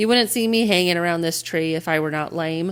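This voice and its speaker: A female-sounding put-on character voice at a middle pitch, delivered at a fairly quick pace. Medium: read story. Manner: pompous, lazy.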